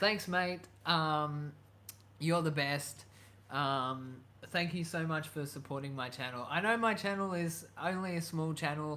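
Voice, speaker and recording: A man's fairly high, bright, sharp voice at a fairly slow pace, with ordinary pitch variation and audible room echo. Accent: Australian. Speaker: YouTuber. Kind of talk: live stream chat. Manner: hesitant, many fillers.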